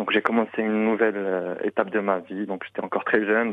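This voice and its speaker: A man talks very fast in a fairly low, monotone voice with flat intonation. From Morocco, Tangier. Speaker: interviewee. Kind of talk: interview. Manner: halting.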